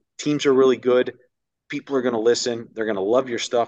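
With an American accent, a man speaks in a normal speaking voice at a medium pitch and fairly even intonation, recorded dry and close with no echo against a quiet background. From upstate New York (Ithaca). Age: 30s. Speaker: baseball radio play-by-play announcer. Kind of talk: casual interview chat. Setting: video call.

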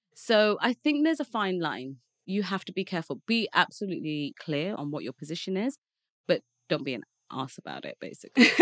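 A speaker with an English Midlands accent talks at a fairly quick pace, with very wide pitch swings and big swings in loudness. The sound is dry and close, with no echo. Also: woman, medium pitch for a woman. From Leicester, England. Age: 30s. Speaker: marketing executive. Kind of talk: casual interview. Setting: studio.

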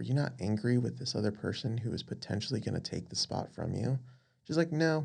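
A man talks at a fairly quick pace with an American accent. It is an unremarkable speaking voice with ordinary pitch variation. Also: medium pitch for a man. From Las Vegas, Nevada. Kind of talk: casual faith discussion.

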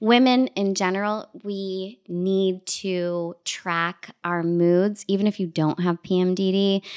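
A woman at medium pitch with a Toronto accent, very slow yet with hardly any pauses. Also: fairly even intonation. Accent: Canadian (Toronto). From Canada, Scarborough (Toronto). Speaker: TV and radio presenter. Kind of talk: casual interview. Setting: at home.

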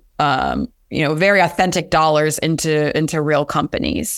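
Speaking at a moderate pace, a woman talks in a Pennsylvania accent. The recording is very clean, with a silent background. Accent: American, Pennsylvania. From US, rural central Pennsylvania. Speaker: venture capital investor. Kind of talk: interview.

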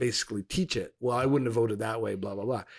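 A man with a plain, everyday voice talks at medium pitch, varying it in an ordinary way. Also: very clean recording, silent background. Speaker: podcast co-host. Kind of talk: casual chat.

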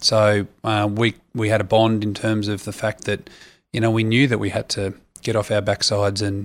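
Monotone and flat, a man with an Australian accent speaks at a fairly low pitch on a very clean recording with a silent background. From Australia, Sydney. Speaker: retired rugby player. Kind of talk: interview. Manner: hesitant, many fillers.

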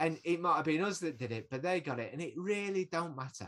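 Bright and sharp in tone, a man speaks at a high pitch with lively intonation. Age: 40s. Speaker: anti-poverty community worker. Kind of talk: casual interview chat.

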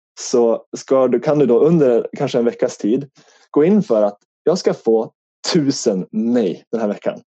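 With a slight northern Swedish accent, a man speaks in a dark, mellow tone with very wide pitch swings, in a dry, close sound with no echo. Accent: slight northern Swedish (Norrland) dialect. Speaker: life coach. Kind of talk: podcast interview.

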